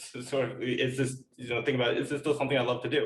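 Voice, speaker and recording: Somewhat breathy speech comes from a man with an American accent. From United States. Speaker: biotech entrepreneur and scientist. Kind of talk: podcast interview. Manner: halting, many fillers and repeats.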